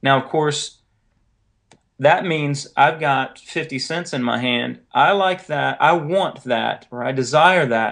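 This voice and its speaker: At a very slow pace, a man speaks in a fairly high pitch with vocal fry. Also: ordinary pitch variation. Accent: Southern US. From North Carolina. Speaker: author and editor. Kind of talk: interview.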